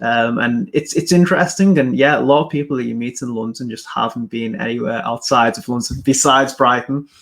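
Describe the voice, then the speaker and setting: A man with an English accent at a medium pitch. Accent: English accent, remarked on. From England. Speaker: podcast host, marketer. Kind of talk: interview on a live stream. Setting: live video stream.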